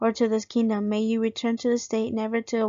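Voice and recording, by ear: Someone reads aloud here, using a natural voice.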